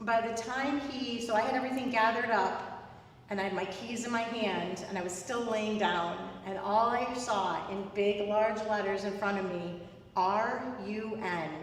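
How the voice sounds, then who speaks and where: There is noticeable background noise and audible room echo around a woman with a slight New York accent. Her medium-pitched voice moves at a fairly slow pace with fairly even intonation. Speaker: spiritual medium, guest speaker. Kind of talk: inspirational talk. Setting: in-person service, streamed live. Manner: many filler words (um, like).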